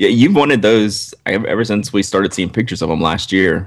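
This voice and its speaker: A man speaks with a Southern US accent. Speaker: podcast co-host. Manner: conversational, relaxed.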